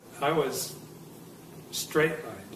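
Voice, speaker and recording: Audible room echo and noticeable background noise surround a man speaking with a General American accent. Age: 70s. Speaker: near-death experience witness. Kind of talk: testimony. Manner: halting.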